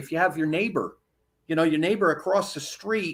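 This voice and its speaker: Here is a man with an ordinary speaking voice. His pitch sits fairly high and has ordinary variation. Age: 60s. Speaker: chaplain and health care activist. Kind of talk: casual interview chat.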